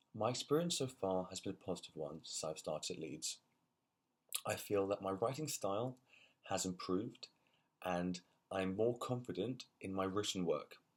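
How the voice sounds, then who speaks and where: This man has a London accent and a fairly low pitch, speaking at a moderate pace with lively intonation. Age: 20s. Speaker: university student. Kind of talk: personal vlog. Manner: halting, repeated words.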